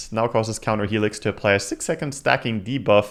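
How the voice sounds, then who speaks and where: Recorded very cleanly against a silent background, a man speaks with a non-native accent. His pitch is fairly low and varies in an ordinary way. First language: not English. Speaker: gaming streamer. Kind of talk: livestream commentary reading patch notes. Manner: animated.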